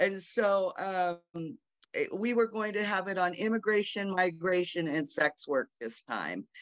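The voice shows ordinary pitch variation over a quiet background, with a dry sound and no echo. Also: woman. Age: 60s. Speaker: sex worker rights activist, panelist. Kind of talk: panel discussion. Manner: halting, many fillers. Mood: earnest, reflective. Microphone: video call.

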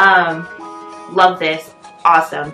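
Clear music sounds in the background as a woman speaks with a fairly low pitch and fairly even intonation. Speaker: lifestyle vlogger. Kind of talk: casual vlog chat.

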